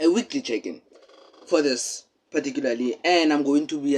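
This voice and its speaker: The speaker is a man with a fairly high pitch. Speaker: vlogger. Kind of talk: casual vlog update. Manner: tends to monotone; deliberately expressive.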